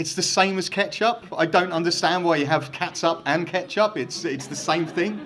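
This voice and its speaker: Noticeable background noise around a man's moderate-paced, high-pitched speech, with ordinary pitch variation. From England. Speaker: hall of fame inductee, former college football kicker. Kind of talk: acceptance speech. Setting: stage with audience at induction ceremony.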